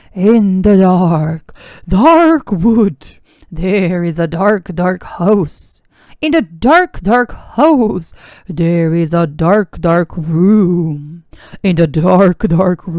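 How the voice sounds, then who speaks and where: A put-on character voice at middle pitch, delivered at a very slow pace. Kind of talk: spooky storytelling.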